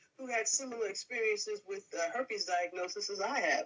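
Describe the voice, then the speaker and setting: Her intonation is lively. A woman speaks at a fairly high pitch. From US, northeastern state, Caribbean family background. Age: 60s. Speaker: podcast guest. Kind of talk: interview. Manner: halting, many fillers.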